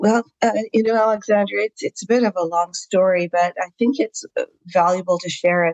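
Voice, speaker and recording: Pitch varies in an ordinary way as the speaker moves along at a fairly quick pace. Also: woman, medium pitch for a woman. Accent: Canadian. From Canada, Saskatchewan. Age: 60s. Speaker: physician and chronic pain patient. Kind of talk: podcast interview. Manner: hesitant, many fillers.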